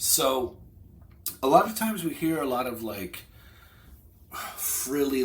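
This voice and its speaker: Audible room echo surrounds a man speaking very slowly at a medium pitch with lively intonation. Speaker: online business vlogger. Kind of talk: casual vlog monologue. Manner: conversational, loose with fillers.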